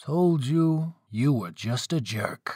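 Putting on a character voice, a man speaks slowly at a fairly high pitch, with lively intonation, a slightly mellow tone and a slightly husky edge, in a very clean recording with a silent background.

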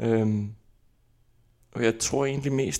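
With an Icelandic accent, a man speaks at a medium pitch. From Iceland, capital area. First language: Icelandic (speaking Danish). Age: 20s. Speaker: actor. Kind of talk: interview. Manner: halting.

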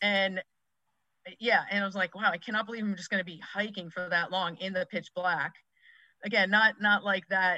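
Using a bright, sharp tone and an American accent, a woman speaks with monotone, flat intonation and long, frequent pauses. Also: medium pitch for a woman, moderate pace, dry, close sound with no echo. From Massachusetts, US. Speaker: youth sports coach, former college athlete. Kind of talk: podcast interview.

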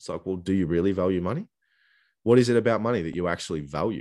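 Very fast speech from a man with an Australian accent, his pitch very deep and low, with ordinary pitch variation and a quiet background. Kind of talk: casual interview chat. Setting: remote call.

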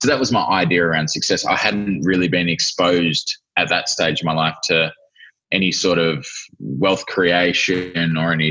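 In an Australian accent, this man talks with a very deep, low pitch. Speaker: entrepreneur. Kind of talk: interview.

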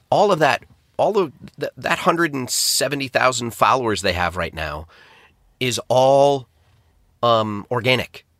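The man's pace is fairly slow, with long, frequent pauses. His medium-pitched voice swings very widely in pitch. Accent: American. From upstate New York, US. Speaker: restaurant franchising and turnaround strategist. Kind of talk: podcast interview.

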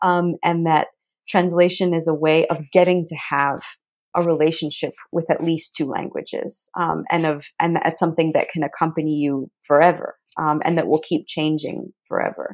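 A woman speaks at a moderate pace in a fairly low pitch, her intonation monotone and flat, over a quiet background. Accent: American. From United States. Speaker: literary translator and poet. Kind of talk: interview.

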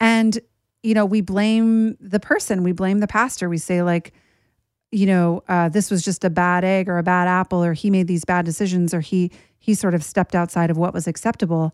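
Recorded very cleanly against a silent background, a woman talks in a plain, everyday voice at medium pitch and a moderate pace, with fairly even intonation and very even loudness. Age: 40s. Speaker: podcast host. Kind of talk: personal monologue.

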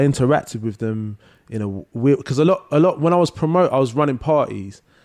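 A man with a London accent talks at a very fast pace. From London, Leytonstone. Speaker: singer-songwriter. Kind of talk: casual chat. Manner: halting.

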